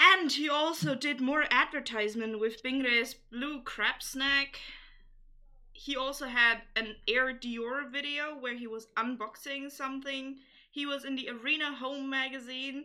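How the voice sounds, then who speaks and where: A woman speaks in a raised, projected voice with a high pitch and a bright, sharp tone. Her intonation stays fairly even at a fairly slow pace. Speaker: podcast host. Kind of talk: casual chat.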